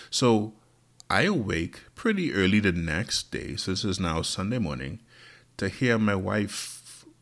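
At a fairly slow pace, a man with a normal speaking voice talks at a fairly low pitch with ordinary pitch variation. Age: 40s. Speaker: podcast host. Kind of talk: casual monologue.

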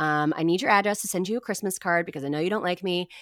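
Very fast and lively in intonation, a woman speaks at a fairly low pitch. The recording is very clean, with a silent background. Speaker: radio host. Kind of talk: casual interview chat. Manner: witty, sarcastic; calm, doesn't raise voice.

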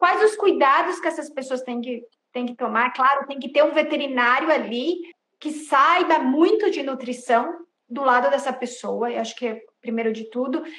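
A woman with a bright, sharp tone, high pitch, ordinary pitch variation and a moderate pace. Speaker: podcast host, veterinarian association. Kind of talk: interview. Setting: Instagram live video call. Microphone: poor audio with dropouts.

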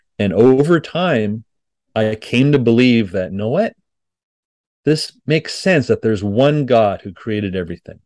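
A man with a Montreal accent speaks at a moderate pace, his medium pitch carried by lively intonation. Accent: Canadian English (Montreal anglophone). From Quebec, Montreal (English-speaking family). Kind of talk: podcast interview.

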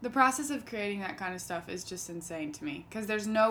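Woman's normal speaking voice, medium pitch, ordinary pitch variation, fairly quick pace. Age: 20s. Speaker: singer-songwriter. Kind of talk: casual chat.

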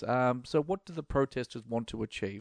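In an Australian accent, a man talks at a moderate pace against a quiet background, the sound dry and close with no echo. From Australia, Melbourne. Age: middle-aged. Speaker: podcast host. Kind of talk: opinion monologue. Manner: halting, many fillers.

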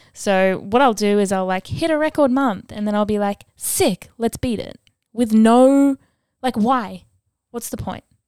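A woman's unremarkable speaking voice, fairly high in pitch, with ordinary pitch variation at a fairly slow pace and a dry, close sound with no echo. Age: 20s. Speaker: podcast host. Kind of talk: solo monologue. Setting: outdoors sounds, birds audible. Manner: casual, filler-heavy.

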